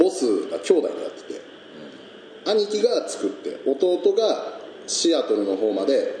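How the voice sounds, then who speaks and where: Noticeable background noise accompanies a man talking at a fairly slow pace. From Niigata, Japan. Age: 20s. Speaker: peach farmer. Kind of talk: casual chat.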